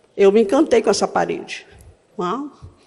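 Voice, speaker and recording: A woman's voice with very wide pitch swings. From Northeast Brazil. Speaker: history professor. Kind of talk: conference talk.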